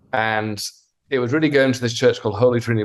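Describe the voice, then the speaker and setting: A man with a British accent talks at a medium pitch. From Wales. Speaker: pastor. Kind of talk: interview. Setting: video call.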